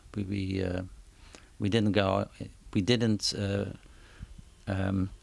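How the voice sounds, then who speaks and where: Speaking at a very slow pace, a man uses monotone, flat intonation. His pitch is fairly low, and he has a Dutch accent. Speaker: concert promoter. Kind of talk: interview. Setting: at his home. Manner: halting, many repetitions and fillers.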